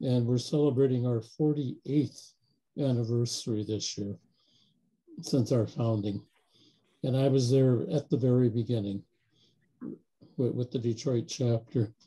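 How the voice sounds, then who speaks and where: The speech moves at a fairly slow pace with long, frequent pauses, fairly even intonation, a dark, mellow tone and a somewhat breathy quality. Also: man, medium pitch for a man. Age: 70s. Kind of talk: group video call discussion.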